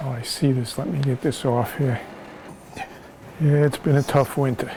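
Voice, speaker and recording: Fairly even in intonation, a man speaks at a medium pitch and a moderate pace. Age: 60s. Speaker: retired auto mechanic and car restorer. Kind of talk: documentary interview. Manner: hesitant, many fillers.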